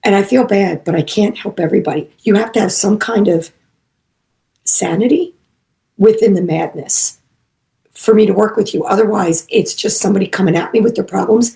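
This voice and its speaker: A woman's medium-pitched, dark, mellow, somewhat breathy voice, fairly quick, with ordinary pitch variation and long, frequent pauses. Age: 60s. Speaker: psychic medium and animal communicator. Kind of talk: casual chat.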